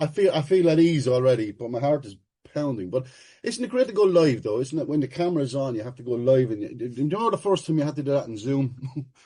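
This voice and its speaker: A man speaks very fast with an Irish accent and lively intonation. His fairly high voice is somewhat breathy, with a dark, mellow tone. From Ireland. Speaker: recovery meeting speaker. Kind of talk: personal testimony share at a recovery meeting.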